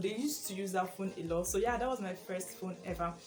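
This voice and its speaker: Noticeable background noise behind a woman's medium-pitched voice with a Nigerian accent. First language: Igbo. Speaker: YouTuber. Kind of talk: casual vlog chat. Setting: at home, sitting in her room.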